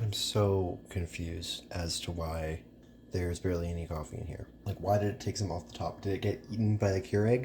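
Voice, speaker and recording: A man's very deep, low voice, somewhat breathy, with lively intonation and a fairly quick pace. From rural area. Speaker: vlogger. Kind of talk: casual vlog monologue.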